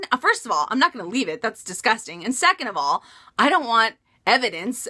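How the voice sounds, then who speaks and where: A woman puts on a whiny character voice, fairly high in pitch with very wide swings and a whiny tone, talking at a fairly quick pace in a dry, close sound with no echo. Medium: solo performance.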